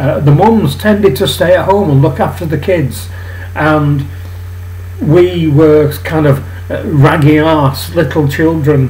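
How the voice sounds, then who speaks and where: With a Mancunian accent, a man speaks at a fairly slow pace with a fairly high pitch and very wide pitch swings. Background noise is noticeable, along with audible room echo. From northern England, Manchester. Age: 60s. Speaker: political commentary vlogger. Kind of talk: personal monologue vlog. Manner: hesitant, many fillers and restarts.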